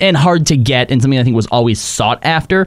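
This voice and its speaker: Talking at a very fast pace with lively intonation, a man is heard over noticeable background noise. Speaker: podcast co-host. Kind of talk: casual chat.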